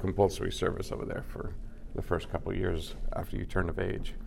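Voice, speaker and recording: Room echo is audible as a man with a Californian accent speaks very fast at a fairly low pitch. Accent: Californian American. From Los Angeles. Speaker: film location manager. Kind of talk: casual chat. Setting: restaurant.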